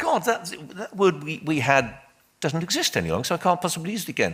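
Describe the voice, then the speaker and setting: Speaking very fast in a Welsh accent, a man has a fairly high pitch, a bright, sharp tone and vocal fry. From Wales. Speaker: debate panelist. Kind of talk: public debate. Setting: stage with audience. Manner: animated.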